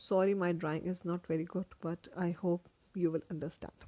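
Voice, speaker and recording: Speaking at a fairly slow pace, a woman holds a medium pitch. The sound is dry and close with no echo. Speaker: medical educator. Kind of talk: lecture.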